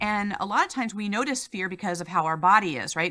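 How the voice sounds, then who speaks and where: A woman talks at a fairly quick pace in a bright, sharp tone with ordinary pitch variation, on a very clean recording with a silent background. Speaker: life coach and former police officer. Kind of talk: interview. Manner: fast.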